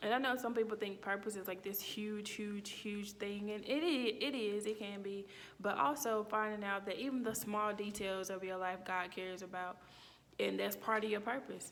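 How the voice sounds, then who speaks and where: A woman with a Mississippi accent, medium in pitch, at a moderate pace, with fairly even intonation and audible room echo. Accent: Mississippi Southern accent, noticeable. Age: 30s. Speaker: student. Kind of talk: personal reflection monologue. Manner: casual, with fillers and self-corrections.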